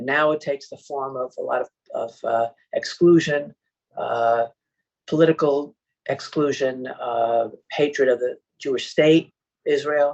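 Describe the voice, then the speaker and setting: Speaking at a fairly slow pace with long, frequent pauses, a man uses a fairly high pitch and fairly even intonation. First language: not English. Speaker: panelist on antisemitism. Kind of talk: webinar talk. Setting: webinar. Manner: hesitant, many fillers.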